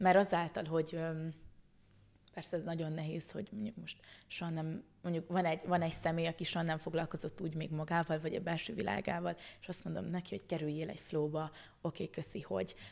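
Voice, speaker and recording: Her voice is fairly low-pitched for a woman, with vocal fry. She talks at a very fast pace with fairly even intonation. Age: 20s. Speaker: spiritual energy teacher; podcast guest. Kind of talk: casual chat. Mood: warm, smiling. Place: studio. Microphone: studio mic.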